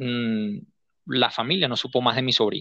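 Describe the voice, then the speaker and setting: This man speaks at a medium pitch. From Venezuela, Guárico state. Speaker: journalist, correspondent. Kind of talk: interview. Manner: halting, many repetitions.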